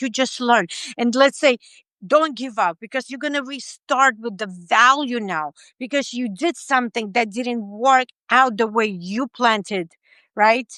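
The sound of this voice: A woman with a non-native accent speaks at a fairly slow pace and a fairly high pitch, her tone bright and sharp. Her pitch varies in an ordinary way, and the sound is dry and close with no echo. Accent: foreign-accented English.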